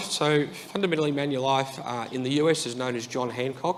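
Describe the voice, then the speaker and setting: Audible room echo and noticeable background noise surround the speaker. The voice carries an Australian accent and ordinary pitch variation. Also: man. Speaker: IT executive at an insurance company. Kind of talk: conference talk. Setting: stage with audience. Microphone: too far from the mic.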